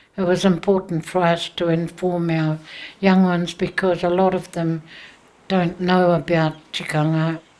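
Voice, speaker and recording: At a very slow pace, a woman with a fairly low pitch speaks in a monotone, flat intonation. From New Zealand, Māori. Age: 70s. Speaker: Māori elder and cultural teacher. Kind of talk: documentary interview. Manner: hesitant, with fillers.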